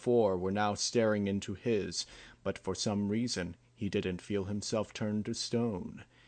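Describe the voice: This is plain reading aloud. The intonation stays fairly even throughout.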